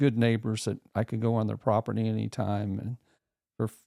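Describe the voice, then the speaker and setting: A man with a Midwestern US accent speaks at a medium pitch in a flat monotone, his dark, mellow tone captured dry and close with no echo on a very clean recording against a silent background. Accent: rural Midwestern American. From rural northern Missouri. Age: 70s. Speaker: podcast guest. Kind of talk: casual interview.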